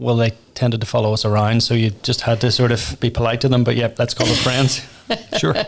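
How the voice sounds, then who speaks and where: Rattling along at a very fast pace in a Northern Irish accent, a man keeps his loudness very even. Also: medium pitch for a man, fairly even intonation. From Northern Ireland. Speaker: tech company founder and pub owner. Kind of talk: podcast interview.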